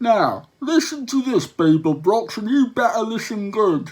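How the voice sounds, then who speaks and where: A high-pitched put-on character voice from a man. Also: moderate pace. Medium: read story. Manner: shouting, earnestly reasonable while threatening.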